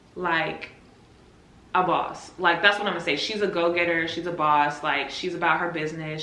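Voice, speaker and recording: Noticeable background noise and audible room echo behind speech with fairly even intonation. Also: woman. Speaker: nurse. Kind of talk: casual vlog.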